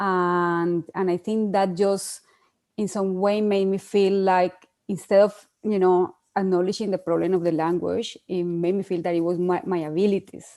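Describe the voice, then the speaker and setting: A woman's dark, mellow tone in a Spanish accent, with monotone, flat intonation. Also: medium pitch for a woman, moderate pace. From Colombia. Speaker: PhD researcher. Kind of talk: online panel discussion. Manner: hesitant, many fillers.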